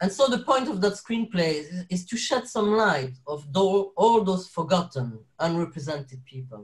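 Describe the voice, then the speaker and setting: Speaking in a French accent, a man with a high voice moves at a moderate pace with hardly any pauses, his pitch swinging very widely. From Belgium, French-speaking Wallonia, Sicilian parents. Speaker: actor and carer. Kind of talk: interview. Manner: halting, many fillers and restarts.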